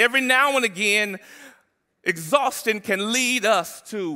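On a very clean recording with a silent background, a man speaks with high pitch, vocal fry, lively intonation and a bright, sharp tone.

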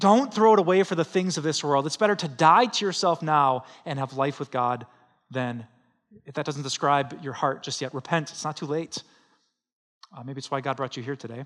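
A man's ordinary speaking voice, fairly high in pitch, with ordinary pitch variation at a moderate pace. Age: 40s. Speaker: pastor. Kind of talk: Sunday sermon, conversational preaching to a live congregation. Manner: conversational, with laughs and self-corrections; earnest, pleading exhortation with urgent repetition.

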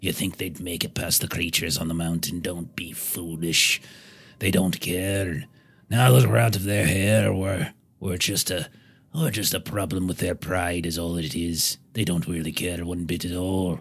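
In a very clean recording with a silent background, a man uses a put-on character voice pitched very deep and low. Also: fairly slow pace. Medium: actual play. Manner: scornful, angry, rough.

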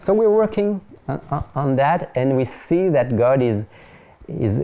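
With very wide pitch swings around a medium pitch, a man talks at a very slow pace. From France, near Paris. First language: French. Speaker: pastor and French-language TV ministry presenter. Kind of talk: interview conversation. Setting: studio.

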